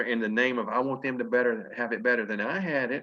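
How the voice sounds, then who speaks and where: A man with an American accent, medium in pitch, at a very fast pace. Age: 50s. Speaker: network marketing leader. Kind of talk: motivational talk.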